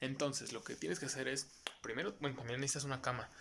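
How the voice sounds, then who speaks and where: This is a man speaking. His pitch is medium. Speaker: podcast co-host. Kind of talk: casual chat. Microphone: new mic, louder than before.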